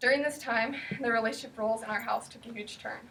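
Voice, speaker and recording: Speaking very fast with fairly even intonation, a woman with a Pacific Northwest accent has a fairly high pitch. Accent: Pacific Northwest American. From US Pacific Northwest. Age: 20s. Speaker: eating disorder recovery speaker. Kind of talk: personal testimony speech.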